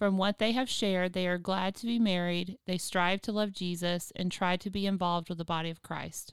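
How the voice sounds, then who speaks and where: A woman with a normal speaking voice, medium pitch, fairly even intonation and a moderate pace. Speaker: podcast host and biblical counselor. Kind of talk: casual chat and case-study discussion.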